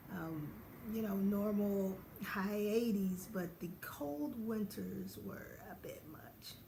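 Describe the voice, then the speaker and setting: With audible room echo and noticeable background noise, a woman talks very slowly using lively intonation. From US South, Knoxville, Tennessee. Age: 40s. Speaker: podiatrist and vlogger. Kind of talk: casual vlog.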